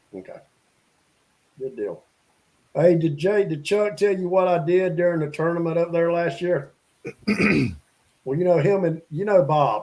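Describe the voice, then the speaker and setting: At a moderate pace, a high-pitched man speaks with long, frequent pauses. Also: ordinary pitch variation. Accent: strong Southern US. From South Carolina. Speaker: fishing show co-host. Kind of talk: casual chat. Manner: animated storytelling.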